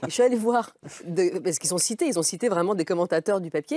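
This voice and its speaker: Against a quiet background, a woman with a fairly low pitch talks at a very fast pace in a dry sound with no echo. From Russian-born, grew up between France and Russia. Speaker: newspaper foreign editor; journalist guest. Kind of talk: televised debate. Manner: halting, many repetitions. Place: studio. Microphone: lapel.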